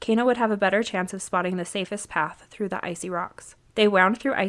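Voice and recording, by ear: Someone is reading aloud. The delivery is in a natural voice.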